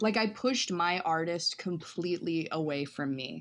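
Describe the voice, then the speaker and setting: A woman with an American accent and a plain, everyday voice, fairly low in pitch, at a moderate pace with ordinary pitch variation, against a quiet background. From US South, western North Carolina. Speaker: performance artist. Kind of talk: casual interview.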